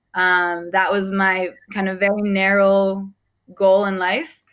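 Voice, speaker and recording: A woman speaks with an American accent. Her pitch sits in the middle range. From United States. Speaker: sport-for-development coach. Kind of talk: online training session introduction. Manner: loud.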